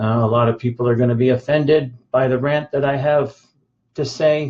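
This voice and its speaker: A somewhat breathy man's voice, medium in pitch, monotone and flat in intonation, at a moderate pace with very even loudness. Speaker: bodybuilding coach. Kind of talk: live stream rant. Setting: live video stream. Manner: halting, many fillers.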